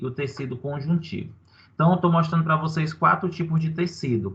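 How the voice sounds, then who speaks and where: A man with a fairly high-pitched voice speaks against a quiet background. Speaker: university lecturer. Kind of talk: online lecture. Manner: animated.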